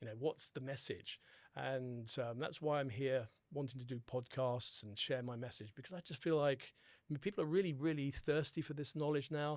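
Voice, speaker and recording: This man speaks at a moderate pace with a British accent and a fairly high pitch. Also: ordinary pitch variation. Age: 60s. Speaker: holistic dentist. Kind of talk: podcast interview.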